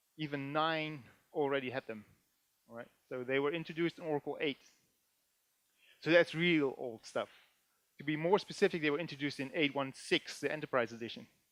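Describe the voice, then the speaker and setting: A man with a Dutch accent speaks fairly quickly at a fairly high pitch with ordinary pitch variation, leaving long, frequent pauses. The sound is dry and close with no echo. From Netherlands. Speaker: database developer and conference speaker. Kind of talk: technical conference talk. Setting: stage with audience. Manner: animated; hesitant, many filler sounds.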